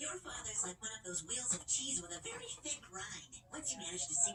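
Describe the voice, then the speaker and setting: A cartoonish character voice, fairly high in pitch and fairly quick, over light background noise. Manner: smug, offhand.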